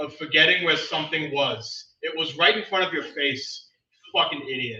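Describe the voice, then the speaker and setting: A man's fairly high voice, with ordinary pitch variation, carries audible echo from the room. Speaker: open mic poet. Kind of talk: poetry reading. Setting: stage with audience.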